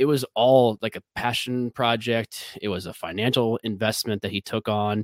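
Using a plain, everyday voice, a man speaks with an American accent at a moderate pace and medium pitch, with hardly any pauses. The recording is very clean and dry, close with no echo, over a silent background. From Chicago area. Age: 30s. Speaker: whiskey brand ambassador. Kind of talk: casual chat.

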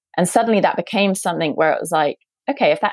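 A woman with a British accent is heard in a very clean recording with a silent background and a dry, close sound with no echo. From UK. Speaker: coach and former founder. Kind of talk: interview conversation.

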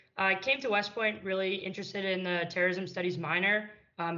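In a room with audible echo, a woman talks at a fairly quick pace in a fairly low voice. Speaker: military cadet. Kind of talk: panel discussion.

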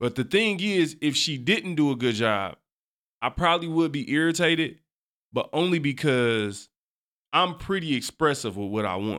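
Against a silent background in a very clean recording, a man with a fairly high voice speaks at a moderate pace in an animated tone with very wide pitch swings. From US, grew up on an East Side. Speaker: podcast host. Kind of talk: casual chat.

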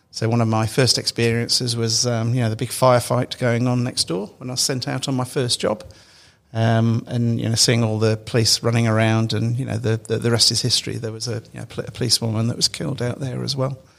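A man speaks at a medium pitch and a very fast pace. His intonation is flat and monotone. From England, Derby (East Midlands). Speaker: internal audit executive. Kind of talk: interview. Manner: hesitant, many fillers and repetitions.

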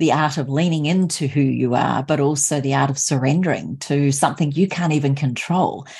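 A woman with an Australian accent, very deep and low in pitch, somewhat breathy, dark and mellow in tone, at a fairly quick pace. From Australia, Sunshine Coast Queensland. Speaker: podcast host. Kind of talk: interview.

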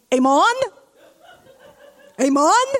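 A put-on character voice, high in pitch, in a strong non-native accent. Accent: heavy foreign.

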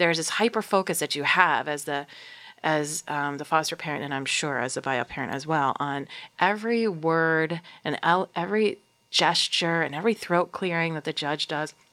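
At a moderate pace, a woman with a very deep, low pitch and a bright, sharp tone speaks with ordinary pitch variation. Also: very clean recording, silent background. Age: 40s. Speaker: nonprofit worker and foster-adoptive parent. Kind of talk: interview conversation.

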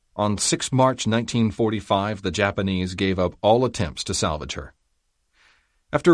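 A man speaks with a plain, everyday voice over a quiet background. His pitch is fairly low, with ordinary pitch variation. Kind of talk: audiobook reading of a history memoir, history documentary narration. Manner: steady, measured, formal.

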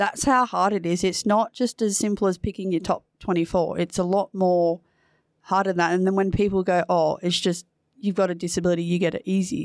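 A woman's medium-pitched voice with an Australian accent, fairly quick pace and very even loudness, dry and close with no echo, on a very clean recording against a silent background. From New South Wales, Australia. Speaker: para footballer. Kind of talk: casual chat.

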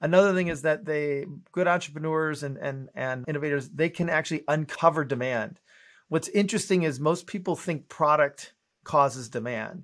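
This man has an unremarkable speaking voice, fairly high in pitch with ordinary pitch variation, at a moderate pace. The recording is very clean with a silent background. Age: 50s. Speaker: innovation consultant and teacher. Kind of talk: interview.

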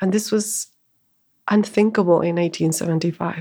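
Over a silent background in a very clean recording, a woman speaks at a moderate pace with a Spanish accent. Her fairly low voice has a dark, mellow tone and fairly even intonation. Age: 40s. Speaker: bookshop manager and spiritual teacher. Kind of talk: casual interview.

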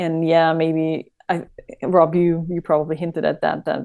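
A woman with a German accent and fairly low pitch, speaking at a fairly slow pace. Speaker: fan. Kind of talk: casual chat.

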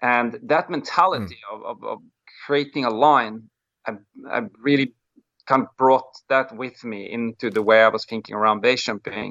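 The speaker, in a Norwegian accent, shows big swings in loudness. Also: man, medium pitch for a man, ordinary pitch variation, moderate pace. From Norway. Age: 40s. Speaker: wingsuit pilot and BASE jumper. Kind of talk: interview.

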